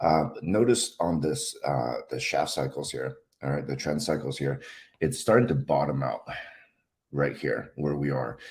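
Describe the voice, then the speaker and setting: This man has a very deep, low voice with vocal fry. He moves at a fairly slow pace with lively intonation. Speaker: stock market analyst. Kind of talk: market analysis tutorial. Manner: halting, many fillers.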